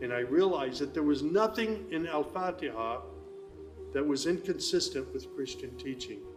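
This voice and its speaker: The speaker has an American accent, and music plays in the background. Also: man. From United States. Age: 60s. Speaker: former pastor, convert to Islam. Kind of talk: personal testimony.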